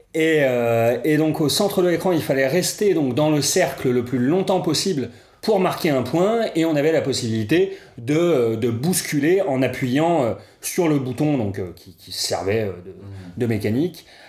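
A man with an ordinary speaking voice talks at a fairly slow pace. His pitch sits fairly high, and his intonation is lively. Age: 30s. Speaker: podcast co-host, indie games event organizer. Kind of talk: casual chat.

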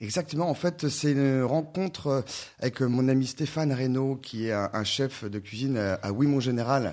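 A man has an ordinary speaking voice with ordinary pitch variation. He talks at a fairly slow pace. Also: medium pitch for a man. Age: 30s. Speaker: sommelier and author. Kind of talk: radio interview.

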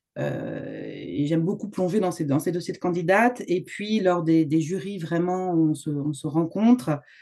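A woman speaks at a fairly slow pace in a fairly low pitch, with ordinary pitch variation and noticeable background noise. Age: 50s. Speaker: home organizer. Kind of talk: interview.

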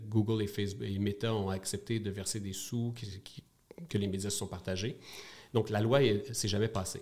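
A man with a Quebec accent speaks at a moderate pace and a fairly low pitch, in a somewhat breathy voice. His intonation is monotone and flat, broken by long, frequent pauses. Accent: Québécois French. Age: 40s. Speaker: media company co-founder. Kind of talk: interview. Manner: hesitant, frequent repetitions.

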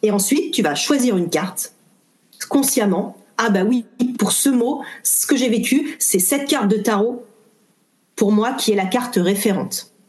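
A woman speaks fairly slowly with a fairly high pitch and lively intonation. Her pauses are long and frequent. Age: 40s. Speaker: tarot reader and trainer. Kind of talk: interview.

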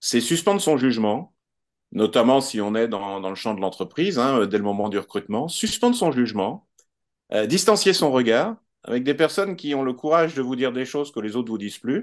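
A man talks in a plain, everyday voice at a fairly quick pace and medium pitch, with lively intonation over a quiet background. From France. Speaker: HR expert and sociologist. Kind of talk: podcast interview.

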